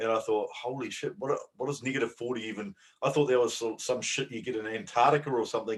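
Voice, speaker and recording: A man talks at a very fast pace, at medium pitch with ordinary pitch variation. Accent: New Zealand. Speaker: bodybuilding podcast co-host. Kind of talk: casual chat.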